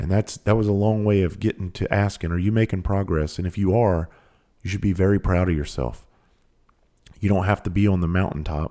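In a rural Southern US accent, a man speaks in a very deep, low pitch with a dark, mellow tone, ordinary pitch variation and a fairly quick pace, on a very clean recording with a silent background. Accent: US Southern country. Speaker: podcast host. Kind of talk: casual monologue. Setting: recording at home.

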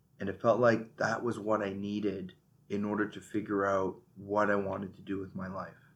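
Speaking fairly quickly, a man keeps a monotone, flat intonation at a fairly low pitch for a man. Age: 30s. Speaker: podcast host. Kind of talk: solo monologue. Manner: halting.

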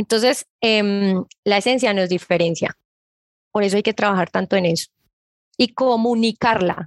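Speaking at a moderate pace with long, frequent pauses, a woman keeps a medium pitch, fairly even intonation and very even loudness, against a quiet background in a dry, close sound with no echo. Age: 30s. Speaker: digital marketing expert. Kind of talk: interview.

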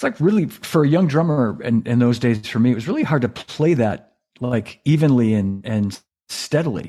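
This man's voice sits at a medium pitch and has a dark, mellow tone. He talks at a moderate pace. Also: lively intonation. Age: 60s. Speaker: drummer and former cymbal company employee. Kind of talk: casual interview. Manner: halting, repeats words.

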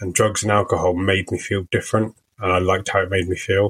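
A man speaks with a British accent at a fairly low pitch and moderate pace. His delivery is monotone and flat, and somewhat breathy. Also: dry, close sound with no echo. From UK, working-class family. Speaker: recovering addict sharing story. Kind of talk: interview testimony. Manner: hesitant, many fillers.

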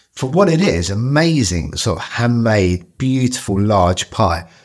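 In a London accent, a man speaks fairly slowly with lively intonation. The recording is very clean, the background silent. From Southeast London. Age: 40s. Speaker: chef. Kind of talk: interview conversation.

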